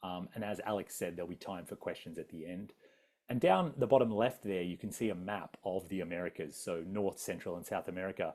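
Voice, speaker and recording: A man with an Australian accent speaks at a fairly quick pace. His voice is fairly low, with a dark, mellow tone. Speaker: adventurer and travel speaker. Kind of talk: public talk with slides. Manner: casual, many fillers.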